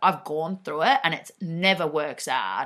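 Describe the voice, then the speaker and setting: In a very clean recording with a silent background, a woman with a fairly low pitch speaks in an animated, bright, sharp tone with ordinary pitch variation. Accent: Australian. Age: 20s. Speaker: podcast host. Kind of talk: casual monologue.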